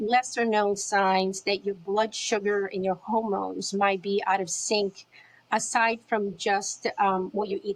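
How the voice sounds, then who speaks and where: We hear a woman. She talks at a fairly slow pace. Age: 60s. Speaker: podcast host. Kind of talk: interview.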